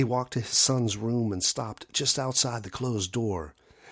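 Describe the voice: Fairly even intonation marks this plain reading aloud.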